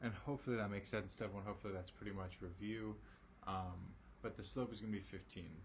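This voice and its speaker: A man's fairly low, somewhat breathy voice, very fast and fairly even in intonation, with audible room echo. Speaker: math teacher. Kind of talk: online lesson. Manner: casual, with many fillers.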